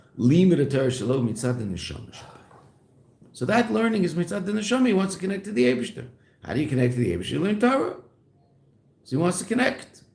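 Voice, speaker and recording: The speech comes at a very fast pace with very wide pitch swings and long, frequent pauses. Audible room echo surrounds it. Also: man, high pitch for a man. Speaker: rabbi teaching Chassidus. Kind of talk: lecture. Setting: classroom.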